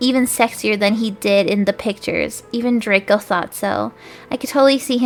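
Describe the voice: The clip is plain reading aloud. That is the whole of it.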